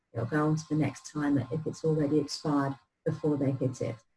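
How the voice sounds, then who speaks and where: A somewhat breathy voice with a London accent. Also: woman. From London, England (North London). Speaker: marketing automation consultant. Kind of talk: tutorial.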